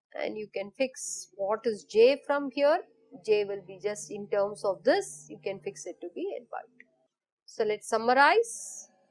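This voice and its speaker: A woman with a fairly high pitch speaks at a fairly slow pace in a plain, everyday voice, her intonation lively and her loudness swinging widely. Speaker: physics lecturer. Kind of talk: lecture.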